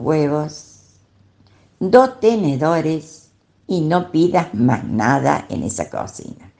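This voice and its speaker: This woman's voice is very deep and low, with a dark, mellow tone and vocal fry. Her pitch swings very widely. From Argentina, Córdoba city. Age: 80s+. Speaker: retired teacher and traveler. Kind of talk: recorded voice messages telling her story. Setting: WhatsApp audio messages.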